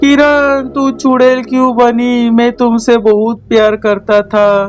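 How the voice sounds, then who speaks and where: A cartoonish character voice from a man, extremely high-pitched and very slow, over clear background noise. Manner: emotional.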